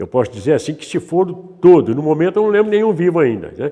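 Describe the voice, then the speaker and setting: A man's dark, mellow tone at a fairly quick pace. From Brazil, interior of São Paulo state (Sertãozinho). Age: 80s+. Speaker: elderly local resident. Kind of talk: interview.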